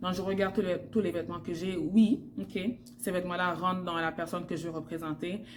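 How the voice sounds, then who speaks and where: A woman speaks at a medium pitch with ordinary pitch variation. Audible room echo fills the recording. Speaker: fashion stylist vlogger. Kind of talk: tutorial. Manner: hesitant with fillers.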